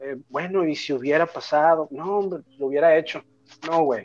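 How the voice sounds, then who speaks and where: In a normal speaking voice, a man talks at a moderate pace, his pitch fairly high and his intonation fairly even. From Mexico. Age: 30s. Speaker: rapper and music producer. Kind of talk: casual interview chat.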